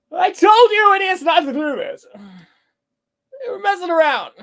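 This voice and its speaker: This put-on character voice is squeaky and extremely high-pitched. It moves at a moderate pace. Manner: dramatic; scolding.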